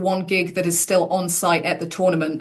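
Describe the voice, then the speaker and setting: A woman talks fairly quickly with an English accent, her intonation flat and monotone. Noticeable background noise runs behind her. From England. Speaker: tennis commentator. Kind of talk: interview.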